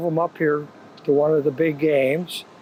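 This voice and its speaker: A man speaks at a fairly slow pace with monotone, flat intonation. Noticeable background noise is present. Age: 70s. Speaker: paintball player. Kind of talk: casual interview. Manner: halting.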